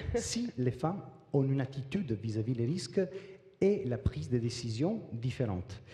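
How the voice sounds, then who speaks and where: Somewhat breathy and dark, mellow in tone, a man with a slight non-native accent speaks at a medium pitch and moderate pace with lively intonation. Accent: slight foreign. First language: not French (speaking French). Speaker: business executive. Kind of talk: panel discussion. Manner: hesitant.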